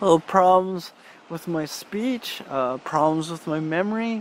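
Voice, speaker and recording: Intonation is lively and the pace fairly slow. Background noise is noticeable. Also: man. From Saskatchewan, Canada. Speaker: spiritual video creator. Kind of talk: personal testimony. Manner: halting, many restarts and fillers.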